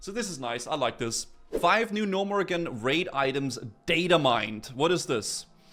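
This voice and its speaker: Over music in the background, a man speaks at a moderate pace. His fairly high voice swings very widely in pitch. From Denmark. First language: Danish. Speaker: gaming streamer. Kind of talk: casual live stream commentary. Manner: animated, with stammering and repetitions.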